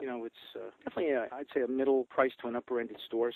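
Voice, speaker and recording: With a Brooklyn accent, a man at medium pitch talks at a very fast pace. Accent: New York (Brooklyn). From New York, Brooklyn. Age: 60s. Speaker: clothing store owner. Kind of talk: interview. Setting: phone call.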